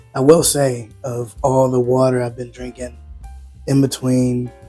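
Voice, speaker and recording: A man speaks at a medium pitch in a flat, monotone delivery, with music playing in the background. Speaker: whiskey reviewer. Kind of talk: casual talk to camera.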